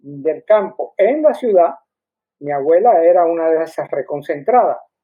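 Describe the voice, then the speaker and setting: A man is speaking. His intonation is lively. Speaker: university lecturer, historian. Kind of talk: academic panel discussion. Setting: video call. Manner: halting.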